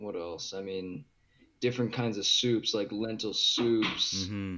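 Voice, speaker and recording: A very slow man with a western Canadian accent, a fairly low pitch and fairly even intonation. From Edmonton, Alberta, Canada. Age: 20s. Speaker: vegan lifestyle guest. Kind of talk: casual interview.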